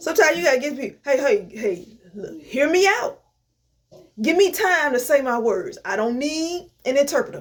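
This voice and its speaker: A woman with a high pitch talks in an animated tone at a moderate pace, her voice making very wide pitch swings. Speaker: inspirational vlogger. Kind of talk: motivational talk. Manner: stutter.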